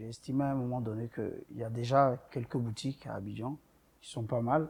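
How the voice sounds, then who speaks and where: Somewhat breathy man's voice, dark and mellow in tone, at a moderate pace with ordinary pitch variation. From Ivory Coast. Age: 30s. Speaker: boutique owner. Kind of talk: interview.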